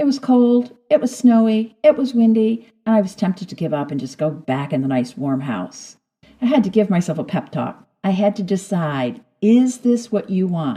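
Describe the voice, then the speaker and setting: A woman with a dark, mellow, somewhat breathy voice speaks at a moderate pace, her pitch swinging very widely. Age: 60s. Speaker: podcast host. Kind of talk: personal storytelling.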